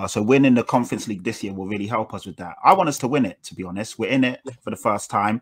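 A man talks at a very fast pace. His loudness swings a great deal. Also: quiet background. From England. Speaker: football fan panelist. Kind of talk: casual chat. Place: home room. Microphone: video call.

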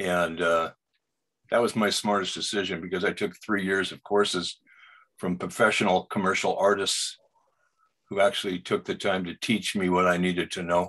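In an American accent, a man with a very deep, low pitch and a bright, sharp tone talks in monotone, flat intonation over a quiet background. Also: moderate pace. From US Pacific Northwest, Seattle. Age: 70s. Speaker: portrait artist and Vietnam veteran; guest. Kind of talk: casual interview. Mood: calm, reflective. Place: home room. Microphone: video call.

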